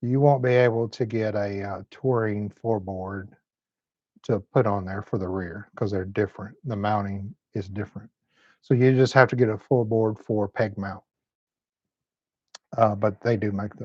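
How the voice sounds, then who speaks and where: Fairly even intonation in a Southern US accent, broken by long, frequent pauses. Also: man, fairly low pitch for a man. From Tennessee. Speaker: motorcycle mechanic and channel host. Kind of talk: live stream chat. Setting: motorcycle shop. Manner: slow.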